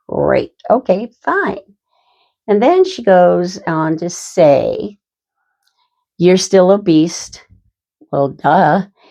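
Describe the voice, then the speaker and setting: Speaking very slowly, a woman talks in an American accent. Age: 60s. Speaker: vlogger. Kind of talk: casual chat. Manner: animated.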